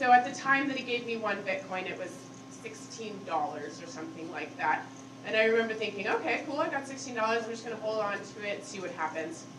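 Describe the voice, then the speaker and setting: Against noticeable background noise and audible room echo, a woman talks at a fairly quick pace with very wide pitch swings. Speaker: conference speaker. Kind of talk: conference talk. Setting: stage with audience. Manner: loud; casual, filler-heavy.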